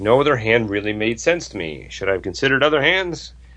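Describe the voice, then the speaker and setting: With vocal fry and lively intonation, a man speaks at a medium pitch. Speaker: poker podcast co-host. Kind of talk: casual banter between co-hosts.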